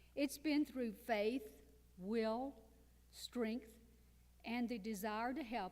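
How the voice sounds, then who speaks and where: Speaking at a very slow pace, a woman has a fairly high pitch. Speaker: cancer survivor and author. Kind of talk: testimony.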